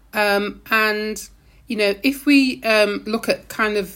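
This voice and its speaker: A woman speaks in a British accent with ordinary pitch variation. The recording is very clean, with a silent background. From UK, Caribbean family. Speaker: university lecturer in public health. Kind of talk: podcast interview.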